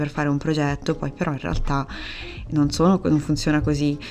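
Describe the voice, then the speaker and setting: Intonation stays fairly even. Noticeable background noise runs underneath. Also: woman. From Italy, Perugia (Umbria). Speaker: illustrator. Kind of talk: casual interview chat. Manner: hesitant, many fillers.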